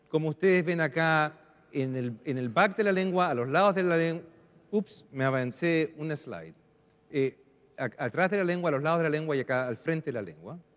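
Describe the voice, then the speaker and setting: With ordinary pitch variation, a man speaks at a moderate pace in a fairly high pitch. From Chile, Arica. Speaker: neuroscientist, professor. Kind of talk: lecture. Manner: halting, searching for Spanish words.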